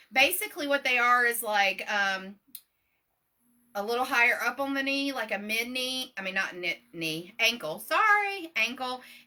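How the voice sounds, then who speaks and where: A loud woman with an American accent, high-pitched, with very wide pitch swings. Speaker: business owner. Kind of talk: live stream tutorial.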